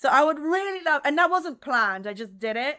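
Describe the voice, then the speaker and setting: Her tone is animated, bright and sharp. The woman's intonation is lively. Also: very clean recording, silent background. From France / US (French-American). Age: 30s. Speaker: dancer and dance teacher. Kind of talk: interview conversation.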